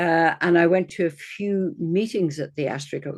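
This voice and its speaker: A woman's very deep, low-pitched voice with an Irish accent. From Ireland. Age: 60s. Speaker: astrologer. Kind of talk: interview.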